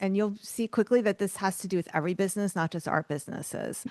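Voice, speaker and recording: A woman with a New York accent, recorded dry and close with no echo. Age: 50s. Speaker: author and art business coach. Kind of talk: podcast interview.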